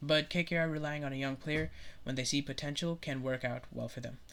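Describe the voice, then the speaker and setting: The speaker moves at a fairly quick pace on a very clean recording with a silent background. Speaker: cricket YouTuber. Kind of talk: casual commentary video. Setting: solo recorded video, no edits. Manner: fast; hesitant with fillers.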